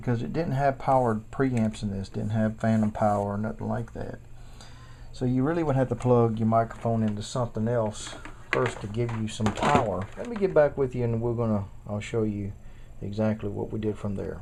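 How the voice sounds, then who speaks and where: Speech moves at a fairly quick pace. There is noticeable background noise behind it. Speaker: home recording hobbyist demonstrating gear. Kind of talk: tutorial. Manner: halting, repetitive.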